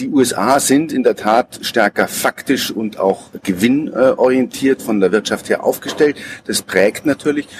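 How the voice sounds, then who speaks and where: Dry and close with no echo, a man's voice moves at a fairly slow pace. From Munich, Bavaria. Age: 40s. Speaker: personnel assessment consultant. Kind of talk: interview. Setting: outdoors on a public square.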